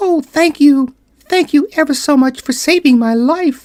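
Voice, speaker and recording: In a squeaky, put-on character voice, the speaker talks at a high pitch and a moderate pace. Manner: grateful.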